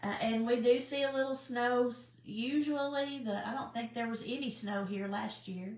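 A woman speaks at a moderate pace with a Southern US accent and ordinary pitch variation. Audible room echo surrounds her voice. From US South, Sand Mountain (Alabama/Georgia area); Alabama. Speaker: cooking channel host. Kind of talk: casual live-stream chat. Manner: halting, many fillers. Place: kitchen. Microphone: too quiet, camera moved closer; phone near.

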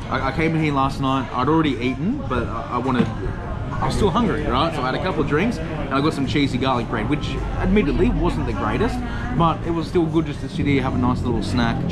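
The speech runs at a very fast pace. Loud background noise is present. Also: man, ordinary pitch variation. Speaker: travel vlogger. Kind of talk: casual vlog chat. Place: bar. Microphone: phone near.

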